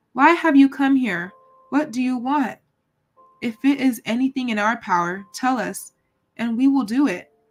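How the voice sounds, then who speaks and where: Over faint music in the background, a woman puts on a shaky, high-pitched character voice, moving at a moderate pace with long, frequent pauses. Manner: trembling, fearful.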